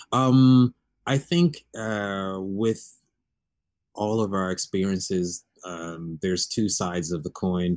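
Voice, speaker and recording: A man with an American accent at a very slow pace and fairly low pitch, ordinary pitch variation, and a dry, close sound with no echo. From Texas, Fort Worth. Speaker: interior and outdoor space designer. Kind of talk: casual interview.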